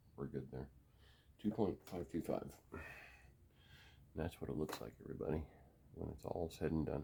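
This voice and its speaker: Vocal fry and a dark, mellow tone with long, frequent pauses. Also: man. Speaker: gun hobbyist video maker. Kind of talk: casual tutorial. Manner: quiet, subdued.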